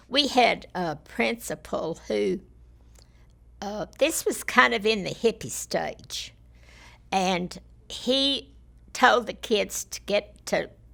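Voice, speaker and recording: A woman speaks in a Texan accent. The recording is very clean, with a silent background. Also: long, frequent pauses. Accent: Texan Southern US. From Texas, Fort Worth area. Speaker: former school board member. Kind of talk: oral history interview.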